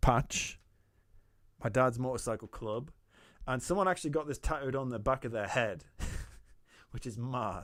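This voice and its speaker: A man with a Geordie accent talks at a moderate pace and medium pitch, leaving long, frequent pauses. The recording is very clean, with a silent background. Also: ordinary pitch variation. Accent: soft Geordie. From Newcastle, northern England. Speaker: artist streamer giving feedback. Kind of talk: live stream chat.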